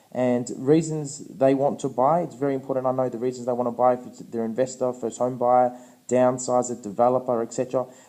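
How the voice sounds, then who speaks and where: A man talks at a medium pitch in a dark, mellow tone. His intonation is monotone and flat, with hardly any pauses. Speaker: real estate agent and auctioneer. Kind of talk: real estate training presentation.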